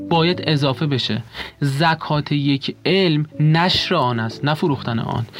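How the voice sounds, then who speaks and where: A man's very slow speech, fairly high in pitch, with very even loudness over noticeable background noise. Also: ordinary pitch variation. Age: 20s. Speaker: architecture graduate student. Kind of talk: interview.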